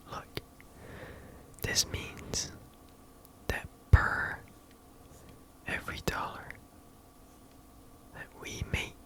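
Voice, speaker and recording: Whispering from a man at a very slow pace, with long, frequent pauses, big swings in loudness, and noticeable background noise. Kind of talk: ASMR roleplay as a business executive, talking to the listener. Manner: soft-spoken, conversational, businesslike.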